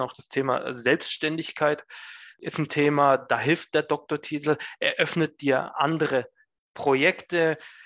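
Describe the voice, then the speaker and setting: The background stays quiet. A man talks with a fairly high pitch. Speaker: management consultant. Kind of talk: interview. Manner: hesitant, many fillers.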